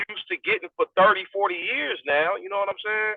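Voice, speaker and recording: At a fairly quick pace, a man speaks in a high voice with fairly even intonation. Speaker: podcast host. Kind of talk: casual chat. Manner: loud.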